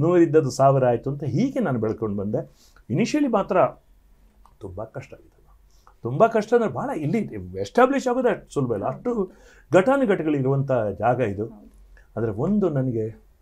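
A man speaks with a fairly high pitch and very wide pitch swings. His voice is somewhat breathy, with a dark, mellow tone. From coastal Karnataka, Dakshina Kannada (Sullia); Karnataka. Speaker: singer; interviewee. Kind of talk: interview. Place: studio. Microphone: lapel.

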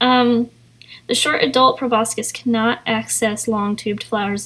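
A woman with an East Tennessee accent speaks at a fairly high pitch. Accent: East Tennessee Southern US. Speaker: artist and YouTuber. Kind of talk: vlog narration with reading aloud. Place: garden. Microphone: phone near.

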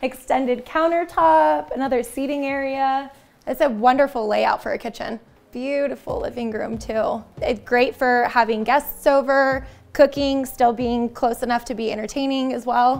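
Her high-pitched voice varies in pitch in an ordinary way. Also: moderate pace. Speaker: home tour host. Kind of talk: casual tour commentary. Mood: upbeat, admiring. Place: home room.

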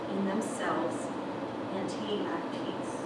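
A woman speaks at a fairly slow pace. Loud background noise and audible room echo surround her voice. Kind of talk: children's sermon. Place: church.

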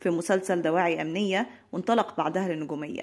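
This speaker has an Egyptian accent, a fairly quick pace and ordinary pitch variation. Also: woman. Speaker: entertainment news narrator. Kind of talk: scripted narration.

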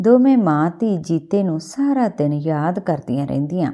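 Lively intonation from a woman with a fairly low pitch and a dark, mellow tone

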